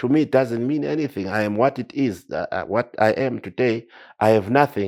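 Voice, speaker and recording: An animated tone in a Zimbabwean accent at a fairly quick pace, with ordinary pitch variation, on a very clean recording with a silent background. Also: man, medium pitch for a man. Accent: Zimbabwean Ndebele English. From Zimbabwe, Matabeleland (Nkosikazi area). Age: 70s. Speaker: war veteran. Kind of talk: interview. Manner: animated, repetitive stammering.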